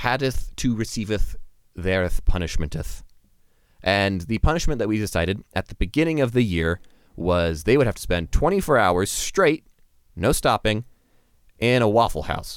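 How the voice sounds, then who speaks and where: A man with a fairly low pitch speaks in very wide pitch swings. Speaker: podcast host. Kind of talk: casual comedic banter.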